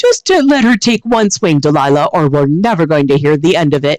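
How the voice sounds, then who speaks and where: A put-on character voice at a middle pitch and a fairly quick pace. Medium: read story. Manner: chuckling, easygoing.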